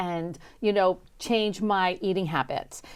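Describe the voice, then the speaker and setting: A woman's voice with lively intonation at a very slow pace. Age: 60s. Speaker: chef and wellness coach. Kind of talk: interview. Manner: halting, many fillers.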